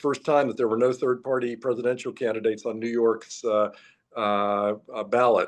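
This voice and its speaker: This man has an unremarkable speaking voice, a medium pitch and fairly even intonation, and he talks at a fairly quick pace. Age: 60s. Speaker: political candidate. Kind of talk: interview.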